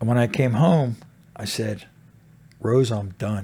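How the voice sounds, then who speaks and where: Somewhat breathy, this man's voice has a dark, mellow tone. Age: 60s. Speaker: motorcycle club president in recovery. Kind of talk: casual interview.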